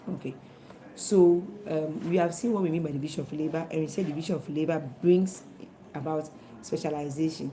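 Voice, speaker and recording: A woman's very deep, low voice moves at a fairly quick pace. Her pitch varies in an ordinary way, and the room echo is audible. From Ghana. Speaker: teacher. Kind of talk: lecture. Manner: fast.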